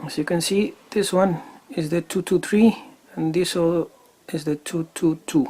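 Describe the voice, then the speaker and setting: A man with a non-native accent speaks fairly slowly in a high voice with a dark, mellow tone. His intonation stays fairly even. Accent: non-native English speaker. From Chile. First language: Spanish. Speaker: airgun hobbyist YouTuber. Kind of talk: product demo tutorial. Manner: halting with frequent fillers.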